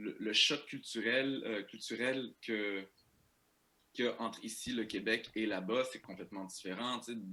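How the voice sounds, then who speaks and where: A man with a bright, sharp tone, fairly slow, with fairly even intonation. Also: medium pitch for a man. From Quebec, Saint-Eustache, Algerian immigrant family. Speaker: comedian. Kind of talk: podcast interview. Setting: remote podcast recording. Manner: halting, many repetitions and fillers. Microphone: poor audio quality.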